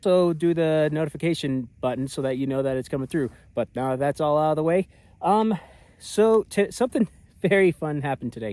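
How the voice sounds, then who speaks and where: With a dark, mellow tone and lively intonation, a man talks at a fairly quick pace in a fairly high pitch, the sound dry and close with no echo. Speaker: outdoor adventure vlogger. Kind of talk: casual vlog narration. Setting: outdoors in the desert at night.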